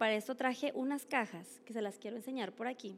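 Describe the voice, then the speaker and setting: A woman is speaking. Her pace is fairly quick. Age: young. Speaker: women's ministry speaker. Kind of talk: sermon.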